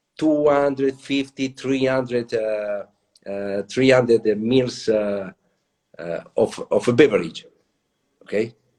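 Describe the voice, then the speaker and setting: Pausing long and often, a man with an Italian accent speaks at a fairly slow pace and medium pitch, with ordinary pitch variation. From Italy. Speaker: latte art pioneer and trainer. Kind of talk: interview. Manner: halting.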